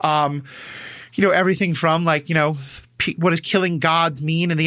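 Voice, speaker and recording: Speaking with an American accent, a man uses a high pitch with fairly even intonation and a bright, sharp tone. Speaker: podcast guest, superhero ethics podcaster. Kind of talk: casual chat. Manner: fast.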